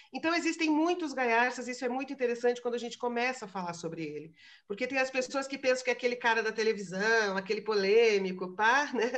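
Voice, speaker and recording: A woman with a high pitch and lively intonation races at a very fast pace with hardly any pauses over a quiet background. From Brazil. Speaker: philosophy lecturer. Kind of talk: lecture. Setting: video call webinar.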